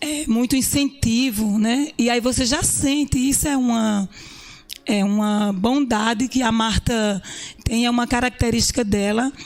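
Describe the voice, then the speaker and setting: A woman speaks at a high pitch with fairly even intonation and very even loudness, over noticeable background noise. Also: fairly slow pace. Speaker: businesswoman. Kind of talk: interview.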